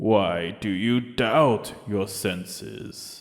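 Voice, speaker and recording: Using a put-on character voice, a man pitches it fairly low. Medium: read story. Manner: slow, solemn, terse.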